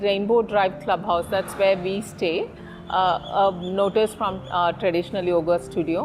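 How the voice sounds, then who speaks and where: A woman's medium-pitched voice at a fairly slow pace, with music in the background. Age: 40s. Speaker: yoga student and architect. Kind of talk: interview testimony.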